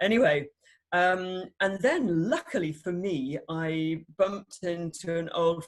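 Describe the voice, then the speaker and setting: With a British accent, a woman talks at a medium pitch in a somewhat breathy voice. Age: 60s. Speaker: doctor. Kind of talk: testimony. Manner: animated.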